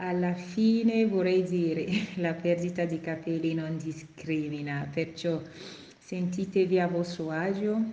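A woman speaks at a fairly slow pace with a fairly low pitch and fairly even intonation. Room echo is audible. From Africa. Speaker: hairdresser and hair specialist. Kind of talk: podcast monologue. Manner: halting.

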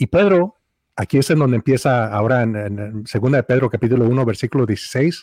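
A man speaks at medium pitch with a dark, mellow tone and ordinary pitch variation. The sound is dry and close with no echo, over a quiet background. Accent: Mexican. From Mexico. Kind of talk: casual theological discussion. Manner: halting, frequent repetitions.

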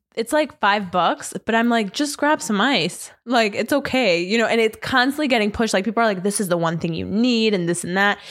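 A woman with a fairly high pitch talks at a fairly quick pace with hardly any pauses, her tone animated and her intonation lively. Her loudness is very even, and the recording is very clean with a silent background. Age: 20s. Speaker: podcast co-host. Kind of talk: casual chat. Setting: studio, also streamed live on Instagram.

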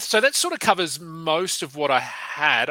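With an Australian accent, a man speaks with ordinary pitch variation. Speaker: fantasy basketball podcast host. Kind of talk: casual interview.

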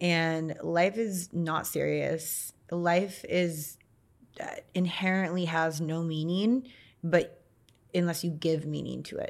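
This woman has an American accent and a fairly low pitch. She speaks at a very slow pace with fairly even intonation, on a very clean recording with a silent background. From US West Coast (Santa Cruz, California). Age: 30s. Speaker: model and influencer. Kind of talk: podcast interview.

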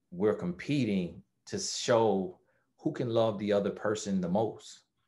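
Against a quiet background, a man with an American accent uses an ordinary speaking voice at a fairly low pitch, with ordinary pitch variation and a fairly slow pace. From USA. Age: 30s. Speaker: life coach. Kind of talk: interview.

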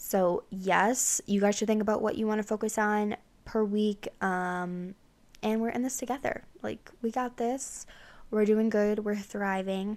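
A woman with an ordinary speaking voice, fairly high in pitch, at a fairly slow pace, on a very clean recording with a silent background. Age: 20s. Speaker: podcast host. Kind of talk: casual chat.

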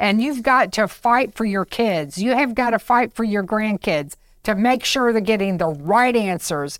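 Using an ordinary speaking voice, a woman speaks at a fairly high pitch and a fairly slow pace with hardly any pauses and lively intonation, on a very clean recording with a silent background. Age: 60s. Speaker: health podcast co-host. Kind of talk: casual chat.

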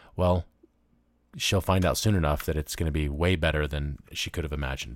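An American-accented man with vocal fry, at a fairly quick pace and ordinary pitch variation. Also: very clean recording, silent background. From US South, Memphis, Tennessee. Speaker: podcast host and radio host. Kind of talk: solo news commentary. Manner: casual, conversational with laughs.

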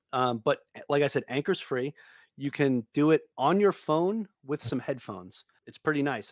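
A man with a New York accent at a fairly quick pace, dry and close with no echo, in a very clean recording with a silent background. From Long Island, New York. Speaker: real estate investor and podcaster. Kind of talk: casual interview.

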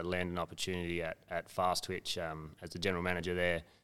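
A man with an Australian accent speaks at a very deep, low pitch in a monotone, flat intonation. The recording is very clean, with a silent background. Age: 30s. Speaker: athletic development coach. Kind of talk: casual chat.

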